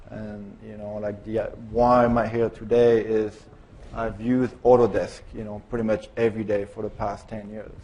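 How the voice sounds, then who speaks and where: In a French accent, the speaker keeps a monotone, flat intonation at a moderate pace while loudness swings widely. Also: man, fairly low pitch for a man. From France. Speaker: car designer. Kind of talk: conference presentation. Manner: halting, many fillers.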